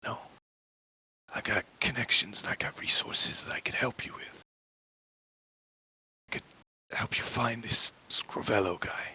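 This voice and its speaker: A man puts on a raspy character voice at medium pitch, moving at a moderate pace with long, frequent pauses. The sound is dry and close, with no echo. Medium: actual play. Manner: earnest, weary.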